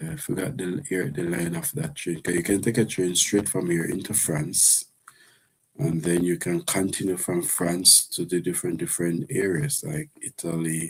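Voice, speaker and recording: In a Jamaican accent, a man speaks with a very deep, low pitch at a fairly slow pace. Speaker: live streamer. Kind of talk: casual live stream chat. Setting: live stream with earpiece.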